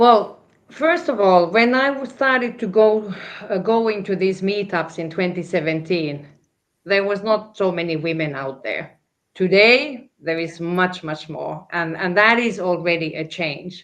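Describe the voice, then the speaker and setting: A woman talks at a medium pitch with lively intonation. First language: not English. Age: 60s. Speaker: crypto panelist. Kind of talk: panel discussion. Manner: halting, many fillers and repetitions.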